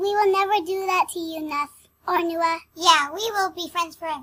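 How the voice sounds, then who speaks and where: A squeaky, extremely high-pitched put-on character voice goes at a moderate pace. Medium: audio drama.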